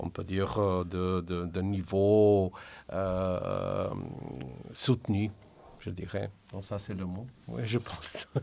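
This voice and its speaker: In a Slovenian accent, the speech comes very slowly with fairly even intonation and long, frequent pauses, on a very clean recording with a silent background. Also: man, fairly low pitch for a man. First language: Slovenian (speaking French). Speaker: translation director. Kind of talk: radio interview. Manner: halting.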